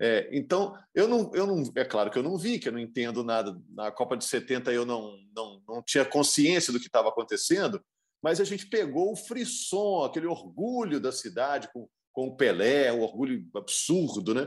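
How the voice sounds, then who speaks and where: Against a quiet background, a man with a fairly high pitch talks at a moderate pace, his pitch swinging very widely. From Minas Gerais, Brazil. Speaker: sports commentator. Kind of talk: casual chat.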